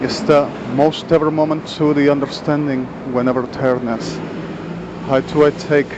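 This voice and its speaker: Over noticeable background noise, a man with a Spanish accent talks at a moderate pace in a medium pitch, his intonation fairly even. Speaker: vlogger. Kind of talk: personal monologue. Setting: outdoors on a street. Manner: halting.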